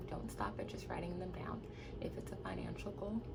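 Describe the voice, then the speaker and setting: The speaker has an American accent and keeps a moderate pace. Noticeable background noise and audible room echo fill the recording. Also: woman. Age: 20s. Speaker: nurse. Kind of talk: tutorial. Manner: casual.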